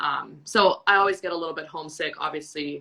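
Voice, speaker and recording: A woman talks fairly quickly, her pitch varying in an ordinary way. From Canada. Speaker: professional volleyball player. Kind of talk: interview. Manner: fast; animated.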